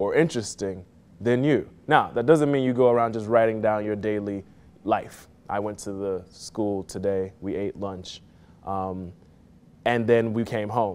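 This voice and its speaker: A man with an American accent and a fairly low pitch talks at a fairly slow pace in an ordinary speaking voice. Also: ordinary pitch variation. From Miami, Florida. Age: 30s. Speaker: playwright and poetry mentor. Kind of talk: tutorial.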